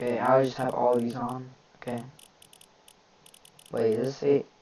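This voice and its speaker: Noticeable background noise sits behind a man speaking at a moderate pace. His medium-pitched voice has monotone, flat intonation. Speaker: gaming YouTuber. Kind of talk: tutorial. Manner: casual, hesitant with fillers.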